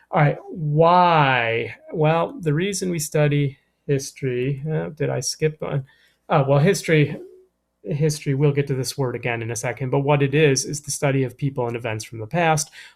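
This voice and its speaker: Ordinary pitch variation shapes a man's fairly high voice at a moderate pace. It sounds somewhat breathy. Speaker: middle school history teacher. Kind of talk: recorded lesson. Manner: casual, with fillers.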